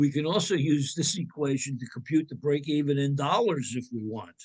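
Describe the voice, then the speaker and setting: Ordinary pitch variation in a New Jersey accent. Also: man. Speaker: accounting instructor. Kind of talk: lecture.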